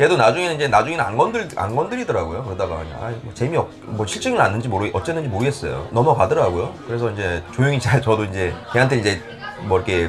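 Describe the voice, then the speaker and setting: Over crowd noise in the background and audible room echo, a man speaks with lively intonation. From South Korea, Ulsan then Seoul. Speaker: salsa class leader. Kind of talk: interview. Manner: halting.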